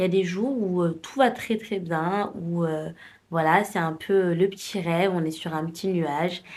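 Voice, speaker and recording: Ordinary pitch variation at a fairly slow pace, in a very clean recording with a silent background. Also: woman. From France, Paris. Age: 20s. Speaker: lifestyle vlogger. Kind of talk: casual talk to camera. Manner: hesitant, many fillers.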